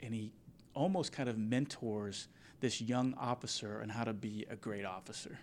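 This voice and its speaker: In a very clean recording with a silent background, a man with an ordinary speaking voice and an American accent talks at a moderate pace, his pitch medium and its variation ordinary. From Kansas, Wichita. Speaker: commercial pilot, Marine veteran and business podcaster. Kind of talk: interview conversation.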